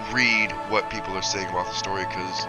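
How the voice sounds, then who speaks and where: The talking goes at a fairly quick pace. Behind it, there is music in the background. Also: man. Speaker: gaming video creator. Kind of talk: casual game review talk.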